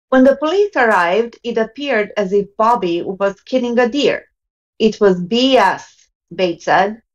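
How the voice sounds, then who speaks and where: With a non-native accent, a woman speaks at a moderate pace using lively intonation. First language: not English. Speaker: panel member. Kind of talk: casual panel discussion. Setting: video call.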